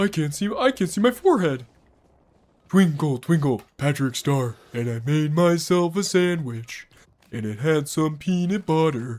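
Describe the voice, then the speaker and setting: A man puts on a character voice at a fairly high pitch, moving at a moderate pace. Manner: dim, sing-song.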